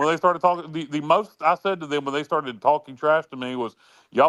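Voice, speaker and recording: At a very fast pace and a fairly high pitch, a man talks with a North Carolina accent, the sound dry and close with no echo and the background quiet. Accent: US Southern (North Carolina). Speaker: sports talk show co-host. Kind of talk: casual chat. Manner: loud; halting, many fillers.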